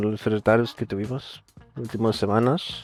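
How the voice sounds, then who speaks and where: Moderate-paced speech with a Dutch accent. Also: man. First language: Dutch (speaking Spanish). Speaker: esports player. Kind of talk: interview. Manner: halting.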